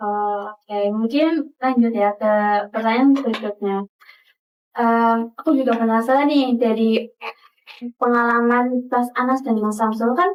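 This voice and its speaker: A woman speaks at a fairly slow pace and a fairly high pitch. Her intonation stays fairly even. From Tegal, Central Java. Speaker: student podcast host. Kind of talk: podcast interview. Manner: casual, hesitant with fillers.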